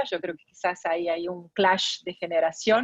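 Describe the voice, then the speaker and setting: A woman in a Tucumán accent, medium pitch, fairly slow pace and fairly even intonation, in a dry, close sound with no echo. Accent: Argentine, Tucumán. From Argentina, Tucumán. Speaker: arbitration lawyer and arbitrator. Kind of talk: guest lecture. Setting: video call.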